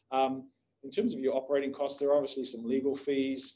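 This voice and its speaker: Speaking with a New Zealand accent, a man uses a fairly high pitch. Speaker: investment agency CEO. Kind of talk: webinar presentation. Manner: halting, many fillers.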